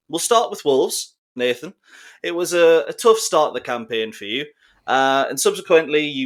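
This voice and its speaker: Here a man is speaking. He has a Geordie accent. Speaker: football podcast host. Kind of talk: casual chat. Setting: online call.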